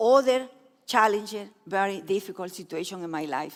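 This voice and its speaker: Speaking at a moderate pace with a Spanish accent, a woman swings her pitch very widely on a very clean recording with a silent background. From Peru. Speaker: speaker sharing her life story. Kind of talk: testimony.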